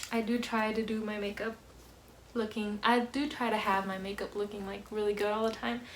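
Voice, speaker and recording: A soft-spoken woman talks fairly quickly at a fairly high pitch in a monotone, flat way, with noticeable background noise. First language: Spanish. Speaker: vlogger. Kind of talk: casual Q&A vlog. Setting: at home, family in next room. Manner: soft-spoken, quiet.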